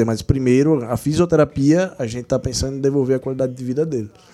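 Over music in the background, someone speaks at a fairly quick pace. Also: man. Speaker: physiotherapist of a football club. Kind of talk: casual interview.

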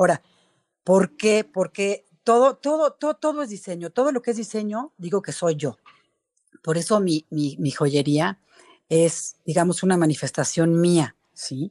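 In a dry, close sound with no echo, a woman speaks fairly slowly at a fairly low pitch, her voice making very wide pitch swings. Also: very clean recording, silent background. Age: 40s. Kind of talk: interview.

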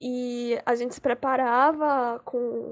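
This is a woman speaking. Her pitch is high. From Recife, Pernambuco, Brazil. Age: 20s. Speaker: frevo dancer. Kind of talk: storytelling.

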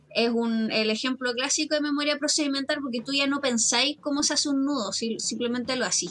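Talking fairly quickly with hardly any pauses, a woman with a Chilean accent keeps a high pitch, ordinary pitch variation and very even loudness against noticeable background noise. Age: 30s. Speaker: teacher and podcaster. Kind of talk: casual chat.

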